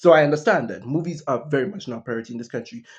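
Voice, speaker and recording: A man speaks with ordinary pitch variation. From East Africa. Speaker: YouTuber. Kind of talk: casual vlog monologue. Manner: casual, halting with fillers.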